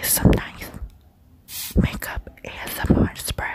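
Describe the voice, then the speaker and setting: Someone whispers over noticeable background noise. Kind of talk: ASMR makeup unboxing. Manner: whispered.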